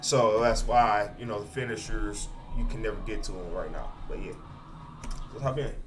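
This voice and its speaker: Over music in the background and audible room echo, a man talks at a moderate pace with long, frequent pauses. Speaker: indie game developer. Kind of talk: tutorial. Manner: many fillers, halting.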